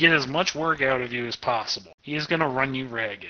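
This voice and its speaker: Background noise is noticeable as a man talks with an American accent. His pitch is fairly high, with ordinary variation. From Arkansas, US South. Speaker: game master running a tabletop RPG. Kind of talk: casual tabletop roleplaying game session.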